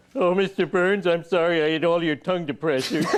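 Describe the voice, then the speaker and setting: A man's cartoonish character voice, high-pitched, at a fairly quick pace. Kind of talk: comic cartoon voice. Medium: comedy sketch. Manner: dopey, guileless.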